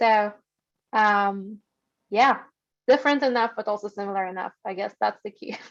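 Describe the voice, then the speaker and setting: A woman with an Iranian accent speaks at a moderate pace and a medium pitch, with ordinary pitch variation. Her loudness swings widely, and she leaves long, frequent pauses. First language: Persian. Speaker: data science alumna, former urban designer. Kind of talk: webinar discussion. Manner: hesitant, many fillers.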